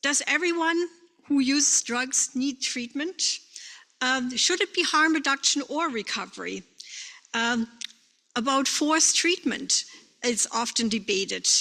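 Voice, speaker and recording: In a raised, projected voice with a bright, sharp tone, a woman speaks at a high pitch and a fairly slow pace, leaving long, frequent pauses. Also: ordinary pitch variation. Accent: German. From Germany. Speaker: bereaved parent and drug policy advocate. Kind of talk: conference presentation. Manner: halting.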